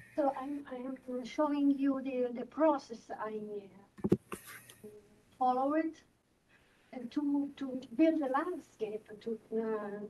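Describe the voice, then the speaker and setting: With an Italian accent, a woman speaks at a very slow pace with long, frequent pauses, her high pitch moving with ordinary variation in a dark, mellow tone. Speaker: doctoral candidate. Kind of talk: academic presentation. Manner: halting.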